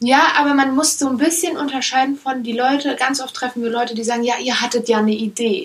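A woman's high voice at a very fast pace with hardly any pauses and ordinary pitch variation. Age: 20s. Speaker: startup founder. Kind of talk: interview.

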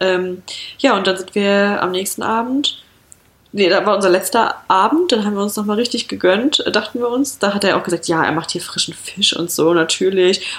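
Over noticeable background noise, a woman talks at a moderate pace. Her pitch is medium, with ordinary variation. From rural Germany. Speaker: podcast co-host. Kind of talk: casual chat.

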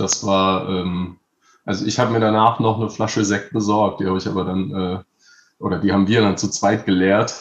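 A man's fairly low-pitched voice, monotone and flat, at a moderate pace. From Palatinate, Germany. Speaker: rapper. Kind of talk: casual chat.

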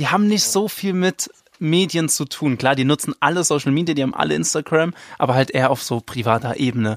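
On a very clean recording with a silent background and a dry, close sound with no echo, a man talks at a very fast pace with lively intonation. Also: fairly high pitch for a man. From Rhineland-Palatinate, Zweibrücken near the Saarland border. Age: 20s. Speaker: tabloid editor. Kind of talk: casual chat.

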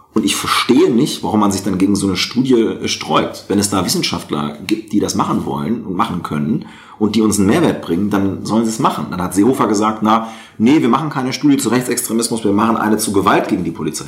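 This man races along at a very fast pace, his intonation lively amid noticeable background noise. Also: fairly low pitch for a man. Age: 30s. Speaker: member of parliament. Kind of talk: interview.

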